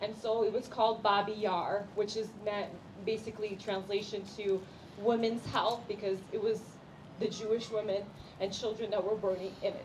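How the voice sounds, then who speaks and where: A woman with a fairly high voice talks at a moderate pace amid noticeable background noise. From Ukraine, Kyiv. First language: Russian. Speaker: community representative. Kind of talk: speech. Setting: community prayer event with audience.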